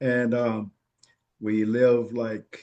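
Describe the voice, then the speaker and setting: A medium-pitched man's voice with a Virginia accent. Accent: Southern US (Virginia). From Virginia, Williamsburg area. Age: 70s. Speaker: family elder interviewed about his life. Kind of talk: oral history interview. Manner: halting, many fillers.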